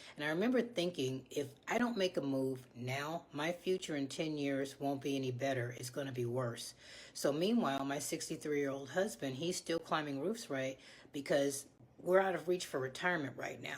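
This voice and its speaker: A woman speaks at a moderate pace with lively intonation. Her pitch is very deep and low. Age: 60s. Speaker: former office worker promoting side hustle. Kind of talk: testimonial sales pitch.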